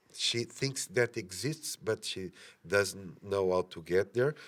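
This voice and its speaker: A man with a Portuguese accent speaks at a fairly slow pace in a fairly low pitch. The recording is very clean, with a silent background. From Portugal. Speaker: film director. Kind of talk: interview. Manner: halting, many fillers.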